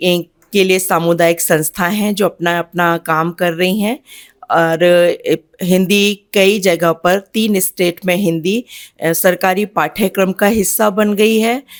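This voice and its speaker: Heard in a very clean recording with a silent background, a woman at medium pitch speaks with fairly even intonation in a dry, close sound with no echo. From India, Uttar Pradesh. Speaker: writer and finance officer. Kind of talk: interview. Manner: halting.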